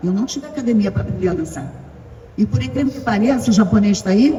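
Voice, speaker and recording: A woman of medium pitch talks at a very fast pace with very wide pitch swings over noticeable background noise. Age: 70s. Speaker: veteran ballroom dancer. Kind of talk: panel talk with audience.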